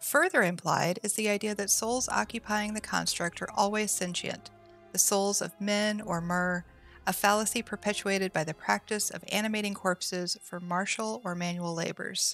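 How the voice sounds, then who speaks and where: Soft-spoken and with fairly even intonation, a woman talks as music plays in the background. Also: medium pitch for a woman, moderate pace. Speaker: streamer. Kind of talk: lore book reading.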